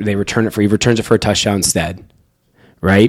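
A man has an ordinary speaking voice with a fairly low pitch. The recording is very clean, with a silent background. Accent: American. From North Carolina. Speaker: sports betting podcast host. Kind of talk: casual chat.

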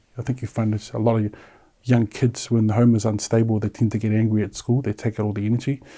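Against a quiet background, a man speaks very fast. His voice sits at medium pitch with a dark, mellow tone. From New Zealand, South Auckland (Samoan parents). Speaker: suicide attempt survivor. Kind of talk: personal testimony.

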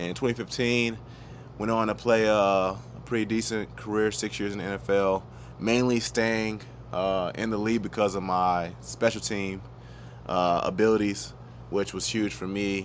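Lively in intonation and animated in tone, a man with an American accent speaks at a moderate pace and a fairly low pitch. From US South, Georgia (Gwinnett County). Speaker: former pro football player and golf YouTuber. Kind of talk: casual interview chat. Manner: casual, animated.

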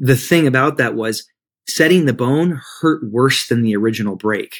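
A man speaks with a Midwestern accent. The recording is very clean, with a silent background. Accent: American Midwest. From Michigan, US. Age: 30s. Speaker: life and spiritual coach, author. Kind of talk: podcast interview.

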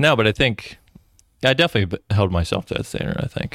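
A man's fairly low voice at a very fast pace with lively intonation, dry and close with no echo, in a very clean recording with a silent background. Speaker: podcast host and police detective. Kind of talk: casual chat. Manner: joking, conversational.

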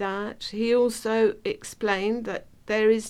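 Speaking slowly at a fairly high pitch, a woman keeps little pitch movement, her tone clear, smooth and slightly mellow.

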